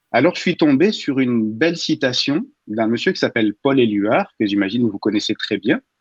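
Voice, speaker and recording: A man speaks at a moderate pace in an ordinary speaking voice, medium in pitch with lively intonation, recorded with a dry, close sound and no echo. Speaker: radio humor columnist. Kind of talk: humorous radio column.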